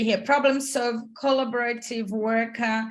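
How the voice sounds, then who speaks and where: A woman with a fairly high pitch speaks at a fairly slow pace. Her pitch varies in an ordinary way, and there is audible room echo. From Brazil. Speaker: career coach. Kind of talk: online masterclass. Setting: video call.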